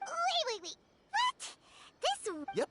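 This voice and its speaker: The voice is a squeaky put-on character voice. Its pitch is extremely high. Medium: video game. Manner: excitable, chatty.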